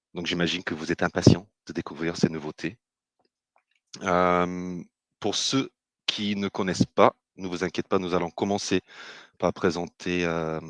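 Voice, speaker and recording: A British-accented man with a very deep, low pitch, monotone and flat in intonation, at a fairly slow pace with long, frequent pauses, in a dry, close sound with no echo. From Britain. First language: English (speaking French). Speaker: business developer, webinar host. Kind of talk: webinar presentation. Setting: online webinar. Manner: hesitant, many filler sounds.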